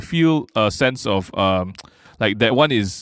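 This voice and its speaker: A man is talking. Very wide pitch swings run through his speech. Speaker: comedian. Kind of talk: casual chat. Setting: studio.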